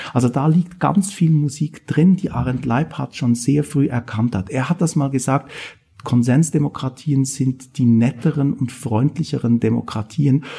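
A man's fairly high, somewhat breathy voice with a dark, mellow tone, ordinary pitch variation and a fairly slow pace. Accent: slight Swiss German. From Switzerland. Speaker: political science professor. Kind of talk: interview.

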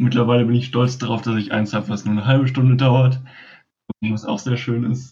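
This man talks at a fairly quick pace with monotone, flat intonation. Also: medium pitch for a man. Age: young. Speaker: board game designer, podcast co-host. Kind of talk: casual podcast chat. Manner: hesitant, many fillers.

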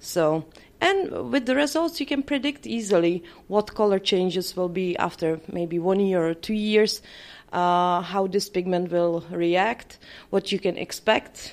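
A woman talks with a Czech accent at a medium pitch. Her intonation is lively and her pace fairly slow. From Czech Republic. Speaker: permanent makeup trainer. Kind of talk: interview. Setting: conference.

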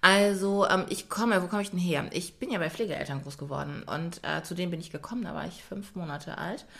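Over audible room echo, a woman with a fairly low pitch and vocal fry talks at a fairly quick pace with ordinary pitch variation and hardly any pauses. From Germany. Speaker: yoga and pilates trainer. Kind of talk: casual chat.

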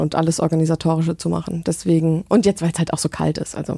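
A woman's dark, mellow voice, fairly low in pitch, dry and close with no echo, on a very clean recording with a silent background. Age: 20s. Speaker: event manager and podcaster. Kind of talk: casual chat.

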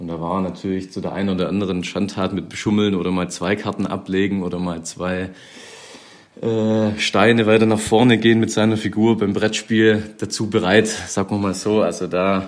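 In a monotone, flat intonation, a man talks with a fairly low pitch. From Swabia, Germany. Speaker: handball player, younger brother of guest. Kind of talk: recorded interview.

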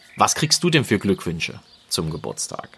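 A man's voice with a bright, sharp tone. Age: 40s. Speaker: podcaster, motivation coach. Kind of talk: solo podcast monologue. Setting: outdoors in a garden. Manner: warm, conversational. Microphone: new podcast recorder.

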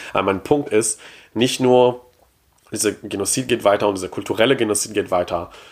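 A man with a fairly low pitch. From Quebec. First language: French (speaking German). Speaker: podcast guest, pop culture fan. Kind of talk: casual chat. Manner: halting, repeats words.

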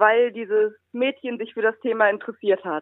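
Here is a woman with an unremarkable speaking voice. She talks at a moderate pace. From Rhineland, Germany. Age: 20s. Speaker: blind blogger and student. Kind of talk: interview.

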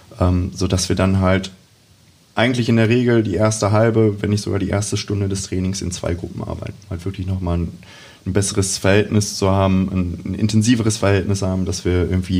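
A man talks in a very deep, low pitch with monotone, flat intonation at a fairly quick pace. Noticeable background noise and audible room echo surround him. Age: 20s. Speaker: youth football coach. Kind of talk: casual interview.

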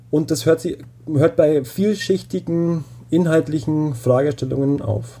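A man with a fairly high pitch talks at a fairly slow pace in a dark, mellow, somewhat breathy tone. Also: ordinary pitch variation. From Bavaria (Upper Palatinate). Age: 30s. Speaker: doctoral researcher in photography education. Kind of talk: interview. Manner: hesitant, many fillers.

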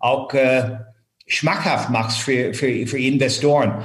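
At a very slow pace, a man talks with a fairly high pitch, and audible room echo can be heard. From Ireland. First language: English (speaking German). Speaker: finance executive turned headhunter. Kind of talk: interview. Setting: remote call. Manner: hesitant with many fillers.

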